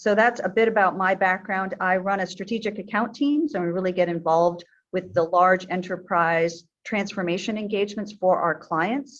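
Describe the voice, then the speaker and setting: With an American accent, a woman speaks at a moderate pace in a medium pitch, her pitch varying in an ordinary way. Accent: American, noticeable in New Zealand. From New York, US. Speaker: tech executive. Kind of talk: webinar interview. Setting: recorded webinar.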